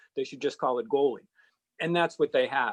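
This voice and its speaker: A man with a Boston accent speaks at a very fast pace. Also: quiet background. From Boston area, Massachusetts (Needham). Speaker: sports radio and TV host. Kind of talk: podcast interview.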